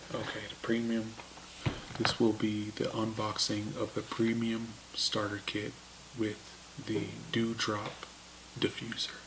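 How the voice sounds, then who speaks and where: With long, frequent pauses, a man speaks fairly slowly at a medium pitch in a monotone, flat intonation, over noticeable background noise. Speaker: vlogger. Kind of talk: unboxing video. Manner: hesitant, many fillers.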